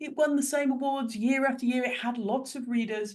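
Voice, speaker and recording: Speaking with an English accent, a woman uses a high pitch and ordinary pitch variation. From Ireland. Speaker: business strategist and coach. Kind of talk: interview answer.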